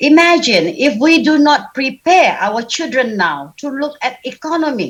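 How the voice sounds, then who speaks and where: A woman with a Sabah accent, high-pitched with very wide pitch swings, at a fairly slow pace. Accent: Malaysian (Sabah) English. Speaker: women's business advocate, panel speaker. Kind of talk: panel discussion talk. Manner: loud.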